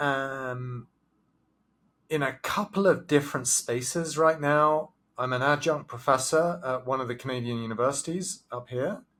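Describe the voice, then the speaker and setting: Speaking at a moderate pace in an English accent, a man uses a medium pitch with ordinary pitch variation. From southern England. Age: 40s. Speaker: professor and business consultant. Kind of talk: interview. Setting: video call.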